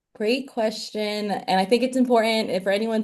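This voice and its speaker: A woman with a slight Southern US accent talks at a moderate pace with fairly even intonation against a quiet background. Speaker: medical student. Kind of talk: interview. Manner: casual, many fillers.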